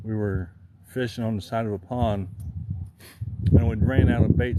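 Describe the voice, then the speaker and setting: A man's fairly low voice with an American accent, audible room echo and noticeable background noise. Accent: rural country. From Southern Illinois. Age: 40s. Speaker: outdoor livestreamer. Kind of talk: casual livestream chat. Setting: outdoors fishing.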